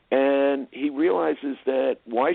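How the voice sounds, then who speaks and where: Sitting at a medium pitch, the man's voice shows ordinary pitch variation. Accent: American. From New Jersey. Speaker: film producer and director. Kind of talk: interview.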